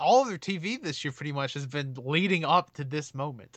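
A man speaks at a moderate pace with a fairly high pitch, a bright, sharp tone, an animated delivery and ordinary pitch variation. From Alabama, US South. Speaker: wrestling fan, podcast guest. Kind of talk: casual chat.

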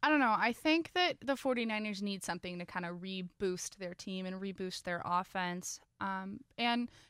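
A plain, everyday voice from a woman at medium pitch, dry and close with no echo. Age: 20s. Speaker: student sports podcast co-host. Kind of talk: casual chat. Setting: studio.

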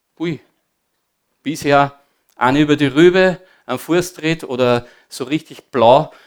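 The recording is very clean, with a silent background. A man with an Austrian accent talks with ordinary pitch variation. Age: 50s. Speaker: former disco owner giving testimony. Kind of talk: testimony. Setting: church service with audience.

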